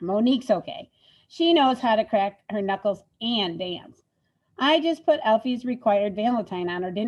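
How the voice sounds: There is lively intonation in a natural reading voice over a quiet background.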